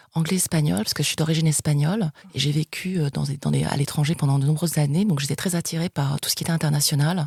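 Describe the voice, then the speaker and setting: This woman's voice is very deep and low, and she talks at a very fast pace. Her intonation is fairly even, and the sound is dry and close with no echo. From France, of Spanish descent. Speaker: international TV sales executive. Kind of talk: interview. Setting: podcast interview. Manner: hesitant, many fillers.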